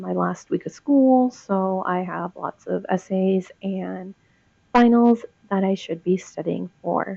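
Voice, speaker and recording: Very slow speech from a woman, medium in pitch. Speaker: student. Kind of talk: casual talk to camera. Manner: monotone, disinterested.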